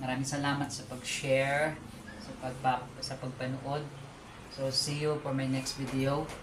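Amid noticeable background noise and audible room echo, a man talks at a fairly slow pace and medium pitch in a flat monotone. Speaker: small food business owner and vlogger. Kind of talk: casual vlog. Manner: halting, with many fillers.

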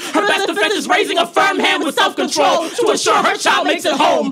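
Over noticeable background noise, a man shouts in an extremely high pitch with lively intonation. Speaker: slam poet. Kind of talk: spoken word poetry performance. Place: stage. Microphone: handheld.

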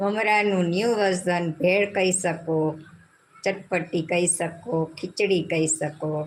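This is a woman with a normal speaking voice. Her pitch is fairly low and her intonation fairly even. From Gujarat, Jamnagar (Saurashtra). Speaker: cooking channel host. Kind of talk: live cooking tutorial. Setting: home kitchen, live stream.

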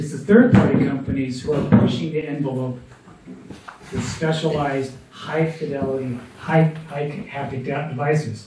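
There is noticeable background noise and audible room echo as a man speaks. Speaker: presenter. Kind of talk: presentation. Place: hall. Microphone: pa.

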